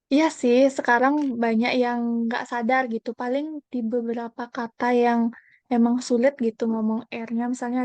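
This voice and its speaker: With hardly any pauses, a woman talks at a fairly slow pace in a high, monotone voice, the sound dry and close with no echo. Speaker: university student, student teacher. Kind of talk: podcast interview.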